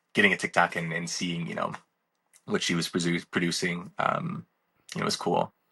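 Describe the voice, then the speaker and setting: A man with an American accent at a moderate pace, long, frequent pauses, and a dry, close sound with no echo. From Wisconsin. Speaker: speed skater. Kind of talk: casual chat. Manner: calm; halting.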